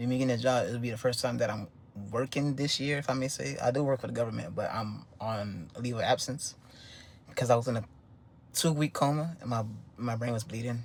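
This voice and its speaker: His voice is somewhat breathy and of medium pitch. The man moves along at a fairly quick pace. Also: ordinary pitch variation. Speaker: vlogger. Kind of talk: casual monologue. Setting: home recording with wife nearby. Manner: fast.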